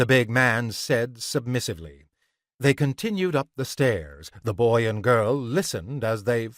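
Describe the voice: A quiet background behind plain reading aloud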